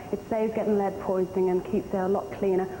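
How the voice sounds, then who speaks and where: A woman with a British accent, over noticeable background noise. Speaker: beauty pageant contestant. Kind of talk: interview.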